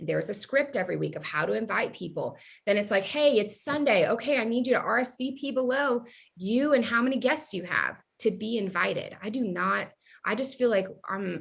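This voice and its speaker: A woman speaks at a fairly quick pace in a fairly high voice with vocal fry and ordinary pitch variation. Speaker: direct sales team leader. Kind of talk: casual chat. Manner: fast; animated.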